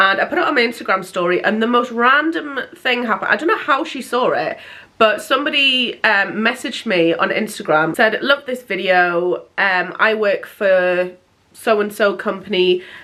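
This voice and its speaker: A woman speaks in an English accent. Her intonation is lively. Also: fairly high pitch for a woman, moderate pace. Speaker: lifestyle vlogger. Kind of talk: casual chat.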